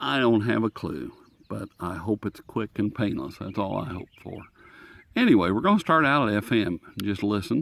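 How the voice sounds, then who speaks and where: On a very clean recording with a silent background and a dry, close sound with no echo, a man talks in a relaxed tone at a fairly low pitch with vocal fry and lively intonation. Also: moderate pace. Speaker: radio hobbyist reviewer. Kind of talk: casual show-and-tell. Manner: relaxed, halting.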